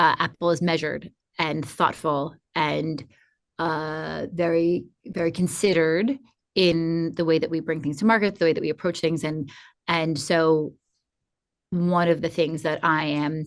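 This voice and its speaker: Against a quiet background, a woman with a fairly low voice speaks with long, frequent pauses. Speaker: advertising executive. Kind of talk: interview. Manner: fast; energetic.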